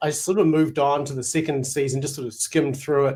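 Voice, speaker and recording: At a fairly quick pace, a man speaks in a New Zealand accent. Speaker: Bible scholar and teacher. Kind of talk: casual chat.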